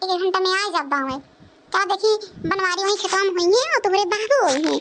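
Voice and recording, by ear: A woman performs a cartoonish character voice at an extremely high pitch. She speaks at a fairly quick pace.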